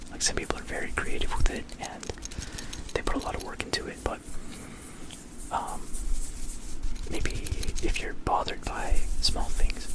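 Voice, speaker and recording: Someone is whispering at a moderate pace. Noticeable background noise sits behind it. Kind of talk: ASMR whisper ramble to camera. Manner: whispered, casual, rambling.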